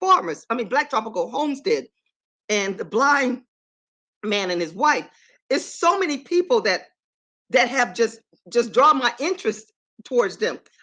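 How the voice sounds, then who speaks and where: A woman speaks high in pitch with very wide pitch swings and an animated, bright, sharp tone. Her delivery has long, frequent pauses. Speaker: vlogger. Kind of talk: live stream chat. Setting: live stream. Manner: fast.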